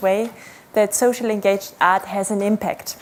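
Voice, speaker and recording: This is an ordinary speaking voice from a woman with a fairly high pitch. She talks at a moderate pace with fairly even intonation. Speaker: PhD researcher, conference speaker. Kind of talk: conference talk.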